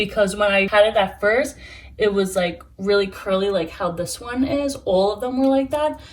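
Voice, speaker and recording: A woman with an American accent talks at a moderate pace in a plain, everyday voice. Her pitch is medium with ordinary variation. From New York. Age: 20s. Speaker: plant hobbyist YouTuber. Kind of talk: casual talk to camera.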